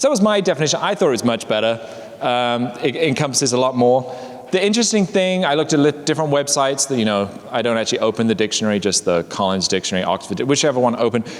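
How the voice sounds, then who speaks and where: This man has a medium pitch and very wide pitch swings, speaking at a very fast pace. Background noise is noticeable. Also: very even loudness. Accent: English. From England. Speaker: presenter at a workplace learning session. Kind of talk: casual talk to small group.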